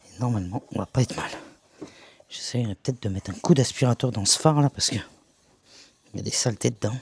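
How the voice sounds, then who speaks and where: Soft-spoken and somewhat breathy, the voice moves at a very fast pace with ordinary pitch variation and long, frequent pauses, recorded dry and close with no echo. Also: man, medium pitch for a man. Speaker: van conversion vlogger. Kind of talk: DIY vlog tutorial. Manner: casual.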